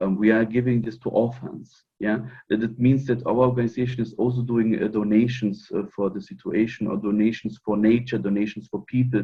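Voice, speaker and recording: Hardly any pauses break up this man's fairly quick speech. His medium pitch stays monotone and flat. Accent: non-native. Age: 40s. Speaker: fraternal order member. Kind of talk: interview. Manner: halting.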